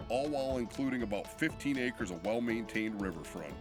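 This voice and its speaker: With music in the background, a man of medium pitch talks at a fairly quick pace. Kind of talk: real estate promo video narration.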